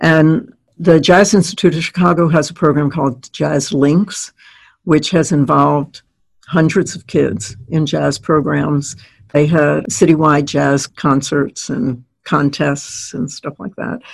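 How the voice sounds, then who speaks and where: Her very deep, low voice carries vocal fry, and the woman speaks at a fairly slow pace with ordinary pitch variation. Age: 80s. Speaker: retired organizational consultant and educator. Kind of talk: casual interview conversation.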